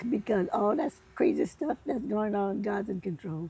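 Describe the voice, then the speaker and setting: A woman at medium pitch speaks with lively intonation against noticeable background noise. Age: 90s. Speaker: elderly interviewee sharing life wisdom. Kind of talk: casual interview chat. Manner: halting.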